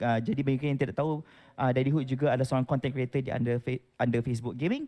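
Against a quiet background with dry, close sound and no echo, a man speaks very fast at a medium pitch in a dark, mellow tone. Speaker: event moderator. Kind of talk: event announcement.

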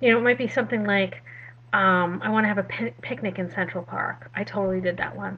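A woman at a very fast pace, with vocal fry. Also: ordinary pitch variation. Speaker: self-care coach. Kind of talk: casual talk. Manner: rushed. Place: home room. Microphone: webcam.

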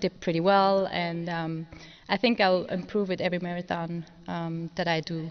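A woman speaks at a fairly low pitch and a moderate pace. Her intonation is monotone and flat. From Switzerland. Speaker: wheelchair racer. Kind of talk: press conference answers. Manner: halting, many fillers. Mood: emotional, grateful. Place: hall. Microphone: podium.

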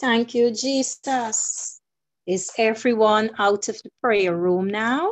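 A woman talks at a fairly high pitch and a very slow pace. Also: ordinary pitch variation, quiet background. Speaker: program moderator. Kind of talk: church program hosting. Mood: fervent, worshipful. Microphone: video call.

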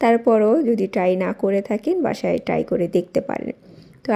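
Soft-spoken woman at a medium pitch, her tone dark and mellow. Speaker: lifestyle vlogger. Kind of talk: vlog voice-over. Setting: home at night.

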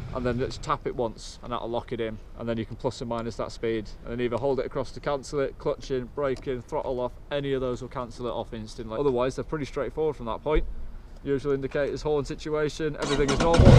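Fairly even intonation marks this man's very fast delivery. Light background noise sits behind him. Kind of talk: explaining bike controls. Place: street.

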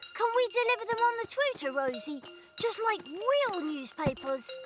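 The voice is a cartoonish character voice. It moves at a moderate pace. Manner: lively, inquisitive.

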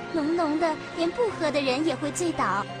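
A woman's voice, dry with no echo, over loud background music. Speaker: voice actor. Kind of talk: story narration. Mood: gentle wistful storytelling. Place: booth. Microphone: studio mic.

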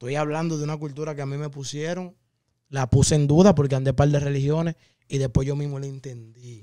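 An ordinary speaking voice, a man talks at a fairly high pitch and fairly quick pace with fairly even intonation. The sound is dry with no echo, and the loudness swings a lot. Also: quiet background. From Dominican Republic, Santo Domingo (Herrera); Dominican Republic. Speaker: podcast guest. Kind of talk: casual interview chat. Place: studio. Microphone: studio mic.

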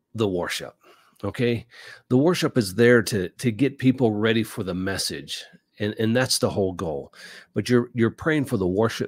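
Over a quiet background with a dry sound with no echo, a man talks at a moderate pace with ordinary pitch variation. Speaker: podcast host on church life. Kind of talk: casual advice talk. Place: studio.

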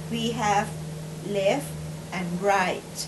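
Over noticeable background noise, a woman speaks very slowly in a Thai accent. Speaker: hobbyist builder. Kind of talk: tutorial narration. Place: home room. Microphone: camera far.

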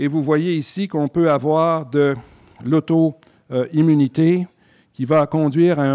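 Very slow and monotone with flat intonation, the voice has a dark, mellow tone over a quiet background. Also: man. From Quebec. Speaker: physician and scleroderma researcher; physician lecturer. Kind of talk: lecture. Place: hall. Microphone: podium.

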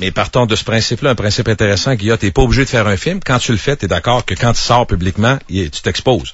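A man's very fast, lively speech with hardly any pauses. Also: medium pitch for a man. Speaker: radio host. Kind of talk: radio interview.

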